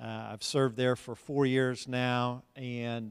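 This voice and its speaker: A man with an American accent, medium-pitched, a plain, everyday voice, fairly even intonation. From Texas (Dallas, Tyler). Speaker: school board president and pastor. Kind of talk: interview in a church service.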